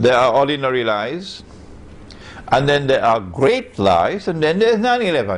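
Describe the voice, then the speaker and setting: Over noticeable background noise and audible room echo, a man with a fairly high pitch speaks at a moderate pace, with very wide pitch swings, very even loudness, and long, frequent pauses. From Trinidad and Tobago. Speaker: Islamic scholar. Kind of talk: lecture.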